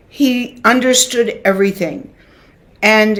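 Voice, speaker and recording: Someone with an American accent speaks at a very slow pace against noticeable background noise. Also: woman. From United States. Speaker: classical dancer and dance teacher. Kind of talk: interview. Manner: halting.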